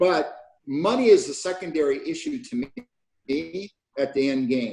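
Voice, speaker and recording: Speaking in an American accent, this man lets his pitch swing very widely. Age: 70s. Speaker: e-commerce pioneer. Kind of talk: interview.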